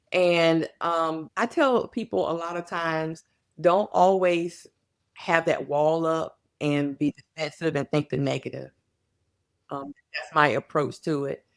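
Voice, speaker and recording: A woman with a fairly low pitch and a normal speaking voice talks at a fairly slow pace with ordinary pitch variation. The very clean recording has a silent background and a dry, close sound with no echo. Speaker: psychologist or workplace expert, speaker. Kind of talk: podcast interview.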